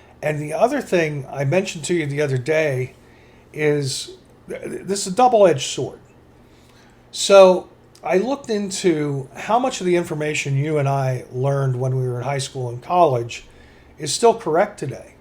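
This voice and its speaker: This man has a normal speaking voice with lively intonation. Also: fairly high pitch for a man, moderate pace. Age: 60s. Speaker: podcast co-host. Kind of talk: casual chat.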